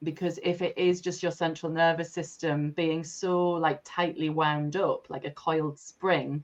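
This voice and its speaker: A woman speaks with a fairly low pitch. Her delivery is fairly slow, with monotone, flat intonation. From North East England. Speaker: breathwork facilitator and coach. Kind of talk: podcast interview answer.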